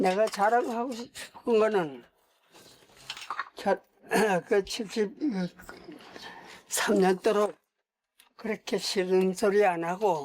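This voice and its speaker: Speaking at a very slow pace with long, frequent pauses, a man uses a high pitch, ordinary pitch variation and very even loudness. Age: 90s. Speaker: elderly farmer husband. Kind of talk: casual chat.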